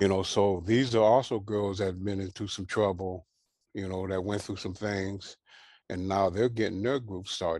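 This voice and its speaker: A man's fairly low voice at a moderate pace, fairly even in intonation, against a quiet background. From Southern California (Carson). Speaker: former gang member and prison re-entry program leader. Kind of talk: interview testimony. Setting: video call.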